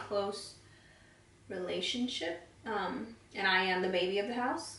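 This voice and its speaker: Audible room echo colors a woman's fairly high-pitched voice as she speaks at a fairly slow pace with fairly even intonation. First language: Spanish. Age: 20s. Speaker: beauty vlogger. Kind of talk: casual chat while doing makeup tutorial.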